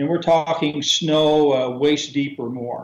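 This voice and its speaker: A man's fairly high-pitched, plain, everyday voice with ordinary pitch variation. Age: 60s. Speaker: scouting organisation executive. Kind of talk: interview. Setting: remote call to radio show.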